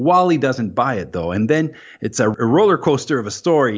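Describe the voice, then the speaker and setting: A man with an Acadian accent. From New Brunswick, Canada. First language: French. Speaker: guest co-host. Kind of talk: casual chat about comics.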